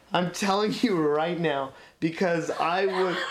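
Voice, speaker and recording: A man speaks with a high pitch and lively intonation. Noticeable background noise runs underneath. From rural area. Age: 20s. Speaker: improv performer and student. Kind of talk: casual chat.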